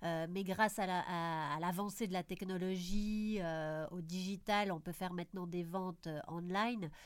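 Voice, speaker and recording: A woman with a normal speaking voice and a medium pitch talks at a fairly slow pace with hardly any pauses and fairly even intonation, in a very clean recording with a silent background. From Belgium. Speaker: podcast host, PR agency founder. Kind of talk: interview.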